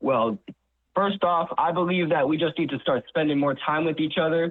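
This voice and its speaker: With an American accent, a man speaks in an ordinary speaking voice at a fairly high pitch, with ordinary pitch variation, a moderate pace and very even loudness. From New York. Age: 20s. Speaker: college student intern. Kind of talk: radio interview.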